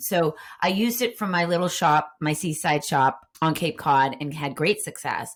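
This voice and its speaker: Speaking at a moderate pace in a Boston accent, a woman uses an animated tone and a very deep, low pitch. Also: very clean recording, silent background. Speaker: Instagram marketing coach. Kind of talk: podcast interview.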